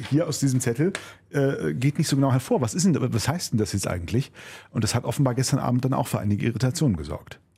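This man talks at a very fast pace with a dark, mellow tone, a medium pitch, vocal fry and lively intonation. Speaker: podcast host, radio presenter. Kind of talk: casual chat.

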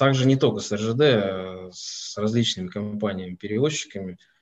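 At a fairly slow pace, a man with an ordinary speaking voice talks in a fairly low pitch with ordinary pitch variation. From Russia, Moscow. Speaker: company president and owner. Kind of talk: online webinar interview.

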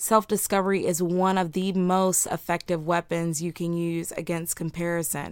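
In a very clean recording with a silent background, a woman of medium pitch speaks at a fairly slow pace in a warm, upbeat tone. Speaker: podcast host. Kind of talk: motivational pep talk. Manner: warm, earnest, encouraging, upbeat; emphatic, direct.

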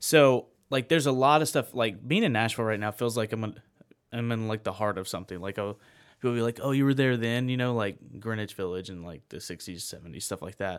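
A man with a plain, everyday voice speaks at a medium pitch with ordinary pitch variation and a fairly quick pace. The recording is very clean, with a silent background. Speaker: radio co-host, veteran. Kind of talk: casual interview. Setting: studio.

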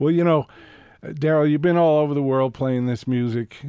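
Here a man speaks in a normal speaking voice at a fairly quick pace. His pitch shows ordinary variation. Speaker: radio host. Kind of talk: casual radio interview chat. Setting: radio studio.

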